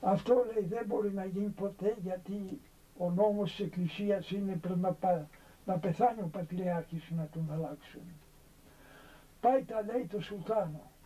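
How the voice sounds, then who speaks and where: A man with a high pitch has a dark, mellow tone. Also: ordinary pitch variation, fairly slow pace. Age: 80s+. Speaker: elderly monk. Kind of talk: storytelling.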